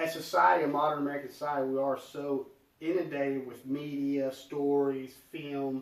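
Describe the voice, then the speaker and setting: A man with a Southern US accent speaks at a moderate pace in a fairly high pitch. His intonation stays fairly even, and there's noticeable background noise. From US South. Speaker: podcast guest. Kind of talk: casual chat. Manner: dramatic.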